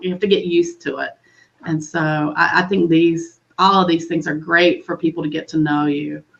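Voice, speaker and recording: A woman with a Southern US accent speaks in a fairly low pitch with fairly even intonation. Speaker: webinar host. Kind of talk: casual chat.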